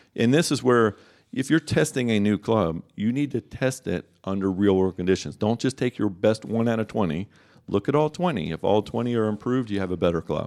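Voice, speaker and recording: A man's ordinary speaking voice, fairly low in pitch with lively intonation, at a fairly quick pace on a very clean recording with a silent background. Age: 50s. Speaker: golf club fitter. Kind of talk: radio interview. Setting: studio.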